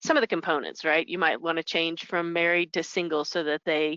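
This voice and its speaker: She is a woman whose voice sits at a fairly low pitch. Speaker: payroll software consultant. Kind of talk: webinar presentation. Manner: fast.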